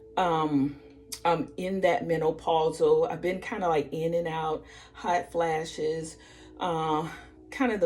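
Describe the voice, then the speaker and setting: Against noticeable background noise, a woman with a fairly low pitch talks at a fairly slow pace. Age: 60s. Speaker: vlogger sharing weight loss journey. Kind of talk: casual vlog and tutorial. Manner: casual, conversational with fillers.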